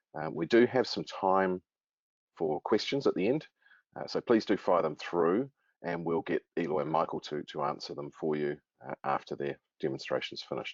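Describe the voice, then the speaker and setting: In a New Zealand accent, a man with a very deep, low voice speaks at a moderate pace with lively intonation. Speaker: webinar moderator. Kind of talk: webinar introduction. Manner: hesitant, many fillers.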